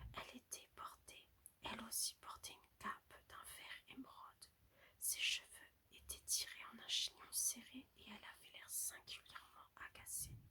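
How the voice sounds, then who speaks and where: Whispering at a fairly slow pace. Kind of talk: read story. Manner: whispered; soft, soothing.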